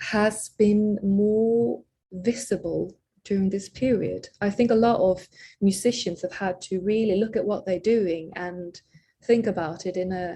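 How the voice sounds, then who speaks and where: Speaking at a fairly slow pace, a woman has a dark, mellow, somewhat breathy tone and ordinary pitch variation. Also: medium pitch for a woman. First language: not English. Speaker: singer-songwriter. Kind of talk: interview. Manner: halting, many fillers and repeated words.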